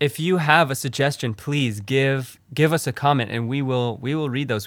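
A man with an ordinary speaking voice, medium pitch and ordinary pitch variation. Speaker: podcast host. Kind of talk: casual chat.

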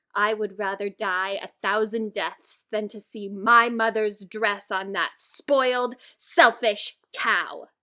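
In a put-on character voice, a woman speaks at a fairly slow pace, fairly high for a woman, with fairly even intonation. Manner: dramatic, indignant.

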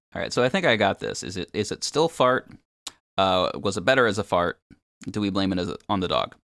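Using an ordinary speaking voice, a man with a fairly low pitch talks at a fairly quick pace with lively intonation, in a dry, close sound with no echo. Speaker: podcaster and musician. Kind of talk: casual chat.

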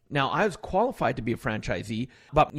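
Speaking very fast with a western Canadian accent, a man uses a medium pitch on a very clean recording with a silent background. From Alberta, Canada. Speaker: author and motivational speaker. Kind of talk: interview.

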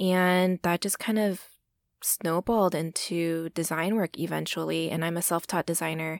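A woman with an American accent and an ordinary speaking voice, fairly low in pitch, at a moderate pace with fairly even intonation and very even loudness, dry and close with no echo on a very clean recording with a silent background. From Texas. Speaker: freelance designer. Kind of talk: casual chat.

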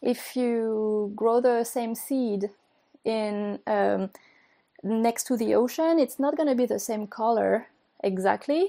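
With a French accent, a woman speaks very slowly at a fairly high pitch in a dark, mellow tone. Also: ordinary pitch variation. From France. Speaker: company founder. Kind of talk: casual interview. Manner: halting.

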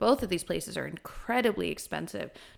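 On a very clean recording with a silent background, a woman speaks with vocal fry. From Kuwait. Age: 20s. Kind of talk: casual chat.

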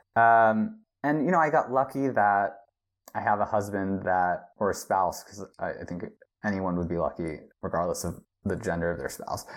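With an American accent, a man in an ordinary speaking voice talks at a moderate pace and fairly low pitch, his intonation lively over a quiet background. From United States. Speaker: television executive. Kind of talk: interview.

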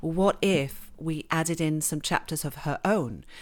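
A woman with an English accent speaks at a fairly low pitch with ordinary pitch variation. The recording is very clean, with a silent background. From England and Switzerland. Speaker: novelist. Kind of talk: interview.

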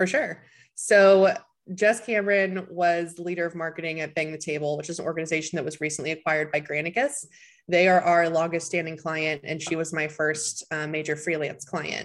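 Using a normal speaking voice, a woman with a fairly low pitch talks at a fairly quick pace with fairly even intonation, in a very clean recording with a silent background. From US South, Tennessee. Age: 20s. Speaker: marketing consultant and business founder. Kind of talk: interview.

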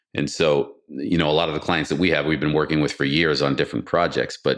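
An American-accented man speaks with vocal fry. His pitch is very deep and low. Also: quiet background. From US Northeast, Boston area. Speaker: renewable energy company CEO. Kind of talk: interview. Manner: halting, many repetitions and fillers.

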